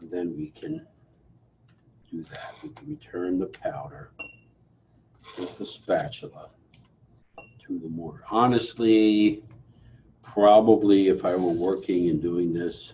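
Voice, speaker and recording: Quiet and fairly slow, a man speaks with lively intonation, big swings in loudness, and long, frequent pauses. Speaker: pharmacy instructor. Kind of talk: lab demonstration tutorial. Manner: quiet, low-volume; casual, self-correcting.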